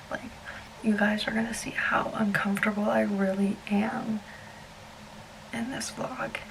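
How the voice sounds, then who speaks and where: Over noticeable background noise, the talking proceeds fairly slowly with fairly even intonation. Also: woman. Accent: American. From US South, South Alabama. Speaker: travel vlogger. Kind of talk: casual vlog storytelling. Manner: shaky, fidgety.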